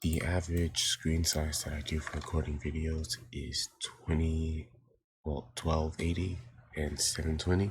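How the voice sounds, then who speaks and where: Quiet and somewhat breathy, a man speaks at a fairly slow pace with a very deep, low pitch. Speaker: digital art tutorial youtuber. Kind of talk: tutorial. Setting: home recording early morning. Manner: quiet, hushed to avoid waking family; hesitant, many fillers. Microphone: poor mic quality.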